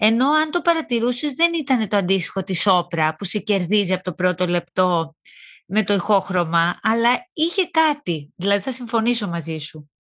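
The recording is very clean, with a silent background. A woman at medium pitch and a moderate pace uses very wide pitch swings. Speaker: podcast host. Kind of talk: interview.

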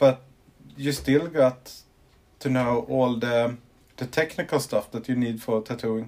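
A man has an ordinary speaking voice with fairly even intonation. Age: 30s. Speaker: tattoo artist. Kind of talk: interview.

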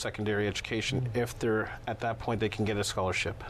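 A man talks at a very fast pace in a monotone, flat intonation over noticeable background noise. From Toronto, Canada, partly Chicago. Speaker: baseball coach. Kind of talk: casual interview.

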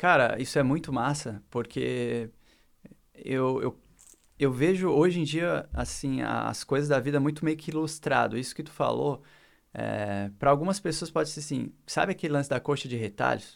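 A man's fairly high voice with vocal fry and ordinary pitch variation, on a very clean recording with a silent background. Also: moderate pace. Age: 30s. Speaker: designer and musician. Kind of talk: casual chat.

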